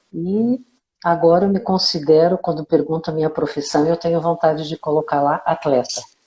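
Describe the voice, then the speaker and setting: Speaking at a moderate pace, a woman uses ordinary pitch variation and a dark, mellow tone. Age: 60s. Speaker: amateur open-water swimmer. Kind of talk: interview. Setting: live video call.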